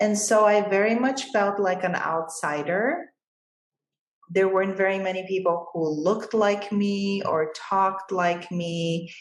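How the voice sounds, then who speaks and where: Audible room echo surrounds a woman's voice at medium pitch. She speaks at a fairly slow pace with ordinary pitch variation. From Bulgaria. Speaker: financial advisor. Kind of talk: interview.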